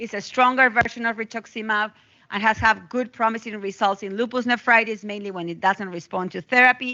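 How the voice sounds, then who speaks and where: Speaking at a fairly quick pace, a woman has a non-native accent and a fairly high pitch. Her intonation stays fairly even while her loudness swings widely. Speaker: physician. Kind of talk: lecture. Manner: fast.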